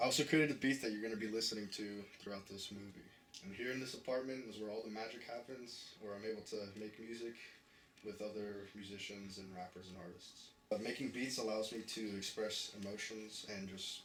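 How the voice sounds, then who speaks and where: Noticeable background noise and audible room echo surround a man with an American accent, who speaks with a fairly low pitch and fairly even intonation. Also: fairly quick pace. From New York. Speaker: music producer. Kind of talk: documentary interview.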